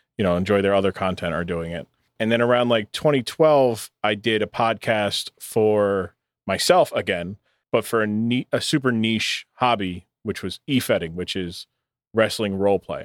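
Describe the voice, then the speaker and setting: An ordinary speaking voice from a man with an American accent, fairly low pitch, ordinary pitch variation and moderate pace, on a very clean, dry, close recording with a silent background and no echo. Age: 20s. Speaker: streamer and podcaster. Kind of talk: casual chat.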